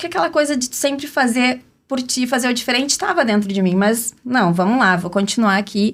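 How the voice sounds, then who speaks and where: On a very clean recording with a silent background, a woman with a fairly high voice speaks at a moderate pace with ordinary pitch variation. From Rio Grande do Sul, southern Brazil (city of Rio Grande). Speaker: entrepreneur and brand strategist, podcast panel guest. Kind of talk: personal life story in podcast conversation.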